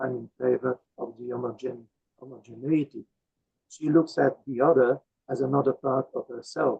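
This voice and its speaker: A man's somewhat breathy voice, flat and monotone, at a moderate pace. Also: medium pitch for a man. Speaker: invited speaker on philosophy. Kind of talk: Q&A discussion after lecture. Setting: video call. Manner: hesitant. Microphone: poor microphone setup, hard to hear.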